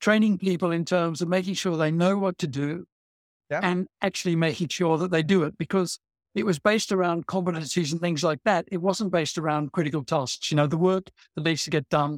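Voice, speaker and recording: The recording is very clean, with a silent background and a dry, close sound with no echo. A man with high pitch speaks at a fairly quick pace with fairly even intonation. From Australia. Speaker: learning and development expert. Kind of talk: interview. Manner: halting, with frequent repetitions.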